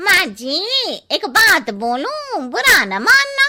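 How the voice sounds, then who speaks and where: A woman uses a cartoonish character voice at an extremely high pitch. She speaks very slowly, her pitch swinging very widely. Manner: cheeky, gossipy.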